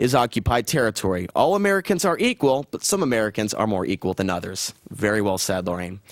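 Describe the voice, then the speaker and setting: In a dry, close sound with no echo, a man's voice makes very wide pitch swings. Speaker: cable access news show host. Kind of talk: news commentary with call-ins. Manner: fast.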